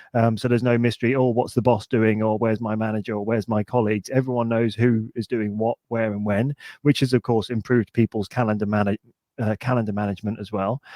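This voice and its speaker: With a British accent, a man talks at a very fast pace in a dark, mellow tone and monotone, flat intonation. The sound is dry and close, with no echo. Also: medium pitch for a man. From United Kingdom. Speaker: podcast co-host. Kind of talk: casual chat.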